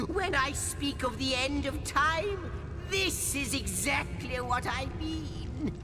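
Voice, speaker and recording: Delivered at a fairly slow pace, a put-on character voice competes with loud background noise. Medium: machinima. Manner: excitable, flowery.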